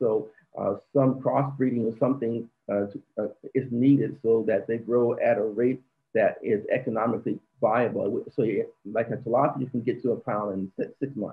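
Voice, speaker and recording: With an American accent, a man talks at a moderate pace. His voice sits at a medium pitch. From Arizona, Phoenix. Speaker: aquaponics expert and professor. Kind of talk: interview. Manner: halting.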